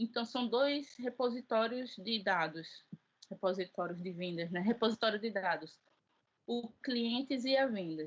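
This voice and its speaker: Somewhat breathy delivery at a fairly slow pace with lively intonation. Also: woman. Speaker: teacher. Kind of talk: lecture. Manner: halting.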